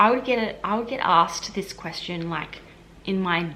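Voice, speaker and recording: A woman speaks with an Australian accent over noticeable background noise. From Australia, Queensland. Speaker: health administration worker and vlogger. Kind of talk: casual vlog Q&A. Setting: at home. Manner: casual, many fillers.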